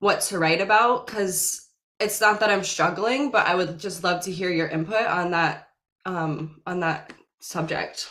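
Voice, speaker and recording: The room echo is audible. A woman talks fairly slowly within it. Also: medium pitch for a woman, ordinary pitch variation. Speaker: singer asking a question. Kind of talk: audience question.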